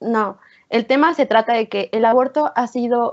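A woman with an ordinary speaking voice, fairly high in pitch, with fairly even intonation. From Oaxaca, Mexico. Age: 20s. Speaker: psychology student. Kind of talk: casual discussion.

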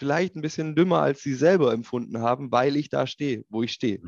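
The man has an unremarkable speaking voice and a fairly quick pace. His intonation is lively, and the background is quiet. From Swabia, Ulm (southern Germany). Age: 30s. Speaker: industrial tech executive. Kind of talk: interview.

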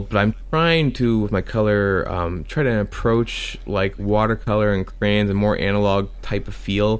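This man has a normal speaking voice, fairly low in pitch, with ordinary pitch variation at a moderate pace. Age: 40s. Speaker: comic creator and musician. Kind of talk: casual interview chat. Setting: call with host.

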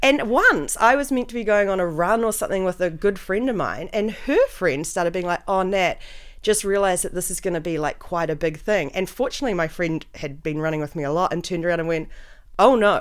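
A woman's normal speaking voice at medium pitch, fairly quick and lively in intonation, on a very clean recording with a silent background. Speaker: podcast host. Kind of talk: casual chat. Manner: joking, self-deprecating.

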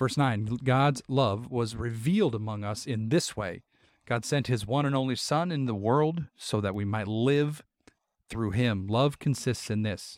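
A man speaks in an ordinary speaking voice, medium in pitch, at a fairly slow pace. His pitch varies in an ordinary way, and the recording is very clean with a silent background. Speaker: podcast co-host. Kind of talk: casual chat with Bible discussion.

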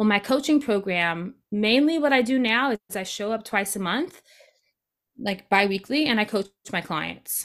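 Fairly high in pitch, a woman with a normal speaking voice talks at a moderate pace with lively intonation on a very clean recording with a silent background. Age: 30s. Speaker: multi-passionate creativity coach and podcaster. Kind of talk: interview conversation.

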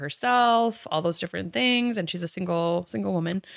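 A woman's fairly low, a plain, everyday voice, dry and close with no echo, in a very clean recording with a silent background. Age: 30s. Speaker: podcast co-host. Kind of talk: casual chat.

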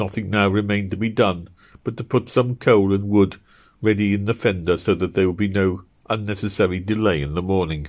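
The intonation holds fairly even as the text is read aloud in a natural voice.

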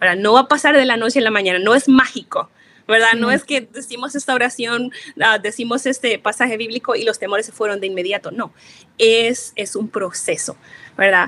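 Bright and sharp in tone, a woman talks at a fairly quick pace. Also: fairly high pitch for a woman, ordinary pitch variation. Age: 30s. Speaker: psychologist and biblical counselor. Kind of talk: interview advice.

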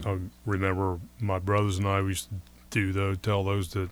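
The very clean recording with a silent background carries a man with an American accent talking at a fairly slow pace in a fairly low pitch. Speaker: radio co-host. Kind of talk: casual chat.

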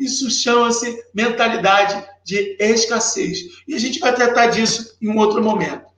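In an animated tone, a man speaks at an extremely high pitch that varies in an ordinary way. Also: moderate pace. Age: 30s. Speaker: sales mentor. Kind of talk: live stream tutorial.

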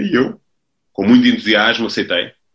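This man has a bright, sharp tone and speaks in a European Portuguese accent. His pace is moderate and his intonation fairly even. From Portugal, Lisbon. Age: 30s. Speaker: football coach. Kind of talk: interview. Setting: video call. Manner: halting, many repetitions.

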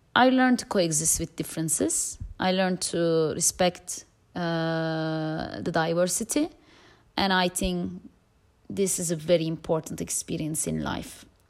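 A woman's fairly low voice in a Turkish accent, fairly slow, with ordinary pitch variation, on a very clean recording with a silent background. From Turkey. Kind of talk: testimony.

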